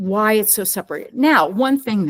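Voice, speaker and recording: A loud woman speaks at a fairly slow pace, her pitch swinging very widely. The recording is very clean, with a silent background. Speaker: artist and educator. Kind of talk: interview. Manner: halting.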